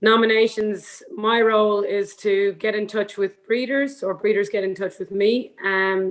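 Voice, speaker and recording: In an Irish accent, a woman speaks at a medium pitch. Her intonation is monotone and flat. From Ireland, Galway area. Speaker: horse breeding professional. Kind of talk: panel discussion. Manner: hesitant, many fillers.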